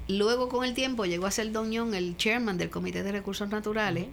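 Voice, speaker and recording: The voice shows ordinary pitch variation. Audible room echo can be heard around it. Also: woman. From Puerto Rico (Caguas), raised abroad mostly in Europe with military father. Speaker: retired politician and doctor. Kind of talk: interview, life story.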